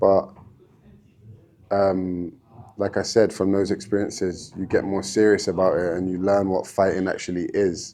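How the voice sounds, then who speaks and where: A man speaks at a moderate pace in a fairly low pitch, his tone dark and mellow. His intonation is monotone and flat, broken by long, frequent pauses. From London, England. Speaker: MMA fighter. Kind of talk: casual podcast interview. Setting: gym.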